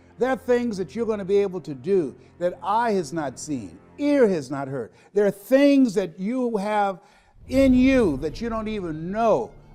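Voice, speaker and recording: A man's high-pitched voice at a fairly slow pace, with very wide pitch swings and music in the background. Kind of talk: motivational speech.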